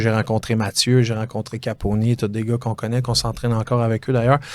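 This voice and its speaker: At a fairly quick pace, a man talks in a monotone, flat intonation at a medium pitch. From Quebec, South Shore of Montreal (Chambly). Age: 30s. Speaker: real estate broker, former fighter. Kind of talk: interview. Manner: hesitant, many fillers.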